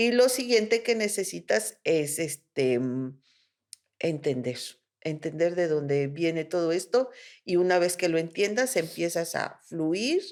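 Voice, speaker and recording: At a fairly slow pace, a woman with a fairly low pitch speaks in very wide pitch swings. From Mexico. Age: 60s. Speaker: spiritual therapist. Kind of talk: interview conversation.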